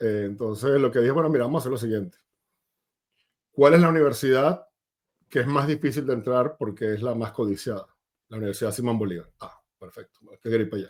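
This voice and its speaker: A man with a Venezuelan accent talks at a very fast pace in a medium pitch with ordinary pitch variation, stopping for long, frequent pauses. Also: big swings in loudness. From Venezuela, Maracay. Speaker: tech sales executive. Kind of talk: interview.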